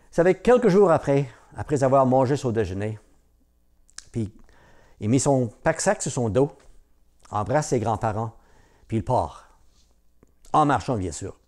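A man at a fairly slow pace, with lively intonation, long, frequent pauses and a quiet background. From Newfoundland, Cap-Saint-Georges (Franco-Newfoundlander); Newfoundland. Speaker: storyteller. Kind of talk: oral storytelling. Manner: hesitant, many fillers. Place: home room.

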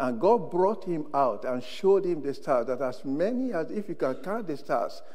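A man's dark, mellow tone with very wide pitch swings at a moderate pace. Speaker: preacher. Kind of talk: sermon. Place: church. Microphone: lapel.

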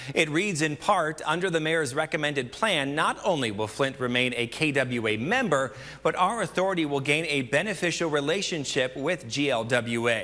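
This man's voice sits fairly high, with lively intonation, a moderate pace and hardly any pauses. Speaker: TV news anchor. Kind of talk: news reading, solo-anchored evening newscast. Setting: TV studio. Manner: crisp, measured anchor delivery. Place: studio. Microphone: lapel.

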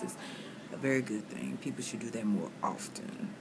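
The woman talks at a fairly quick pace. Noticeable background noise runs under her voice. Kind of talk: casual vlog chat. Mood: reflective, a bit loopy. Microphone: phone near.

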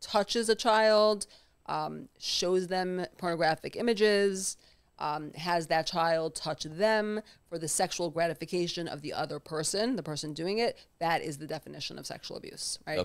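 Against a quiet background, a woman speaks with a fairly low pitch and ordinary pitch variation. Her loudness swings widely. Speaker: trauma therapist; podcast guest. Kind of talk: conversational, professional. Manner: fast talker. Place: home room. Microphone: studio mic.

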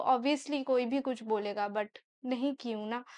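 Against a quiet background, a woman with a Bengali accent talks at a fairly slow pace. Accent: Bengali-accented Hindi, gender errors. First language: Bengali (speaking Hindi). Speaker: YouTuber / vlogger; vlogger. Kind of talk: casual Q&A vlog. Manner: hesitant, with fillers. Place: home room. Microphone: lapel.

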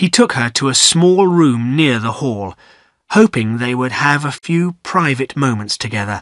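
The background is quiet as an unforced reading voice carries lively intonation.

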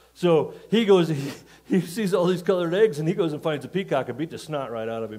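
His pitch swings very widely. The man keeps a fairly quick pace. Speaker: pastor. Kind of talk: sermon. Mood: jovial, telling jokes, laughing. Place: church. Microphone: headset.

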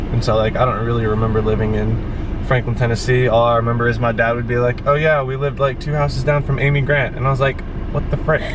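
The speech runs at a very fast pace in a monotone, flat intonation, with a dry sound and no echo but noticeable background noise. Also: man. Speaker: guest. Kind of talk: casual vlog chat. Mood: cheerful, joking. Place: car.

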